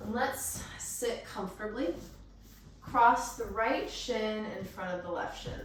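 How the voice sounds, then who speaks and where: A woman at a fairly slow pace with ordinary pitch variation, amid noticeable background noise. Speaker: yoga teacher. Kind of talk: guided yoga class instruction. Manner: calm, gentle.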